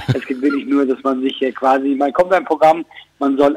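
A plain, everyday voice, a man speaks at a moderate pace with a fairly high pitch and fairly even intonation. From Switzerland. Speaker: comedian. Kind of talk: phone interview.

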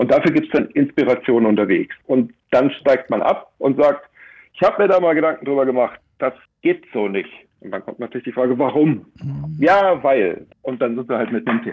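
At a moderate pace, the voice carries lively intonation and vocal fry. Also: man, medium pitch for a man. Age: 50s. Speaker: life coach and motorcycle tour guide. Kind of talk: radio interview.

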